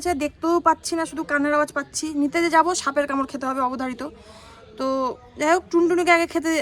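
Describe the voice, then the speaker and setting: A woman talks with a high pitch and fairly even intonation. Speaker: vlogger. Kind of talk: casual vlog chat.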